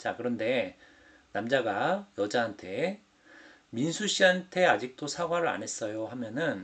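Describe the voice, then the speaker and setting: At a fairly slow pace, a man with a medium pitch speaks with very wide pitch swings. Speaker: Korean language teacher. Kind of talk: exam explanation lesson. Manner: slow, clear.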